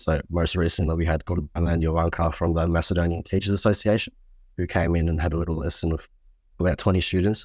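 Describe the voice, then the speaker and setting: An Australian-accented man talks very fast. His voice is very deep and low, and his intonation is monotone and flat. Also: very clean recording, silent background. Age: 20s. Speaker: student society president. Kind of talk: interview.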